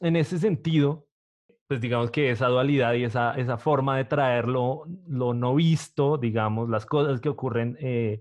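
A normal speaking voice moves at a fairly slow pace with ordinary pitch variation. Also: man. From Colombia, Bogotá. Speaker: podcast host. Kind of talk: interview.

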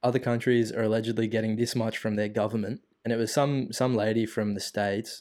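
Speaking at a fairly quick pace, a man uses an Australian accent and a medium pitch. His intonation is monotone and flat, on a very clean recording with a silent background. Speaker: podcast host. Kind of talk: casual chat.

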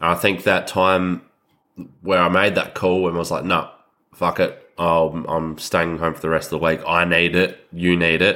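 With a very deep, low pitch and an Australian accent, a man speaks at a moderate pace in a monotone, flat intonation on a very clean recording with a silent background. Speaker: podcast co-host, fly-in fly-out worker. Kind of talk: casual chat.

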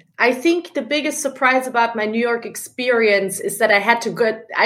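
A woman's fairly high pitch with ordinary pitch variation, at a fairly quick pace. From Germany. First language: German. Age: 30s. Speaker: founder of a book review project. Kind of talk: casual interview chat. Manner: animated.

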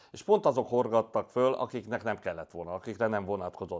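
Over a quiet background, a man speaks in an animated tone with ordinary pitch variation. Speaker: football club insider and fan. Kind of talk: casual chat.

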